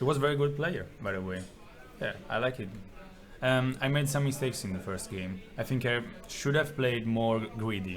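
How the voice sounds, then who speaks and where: A man talks at a moderate pace in a medium pitch with ordinary pitch variation. Noticeable background noise and audible room echo fill the recording. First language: Italian. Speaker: tournament player. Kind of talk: interview.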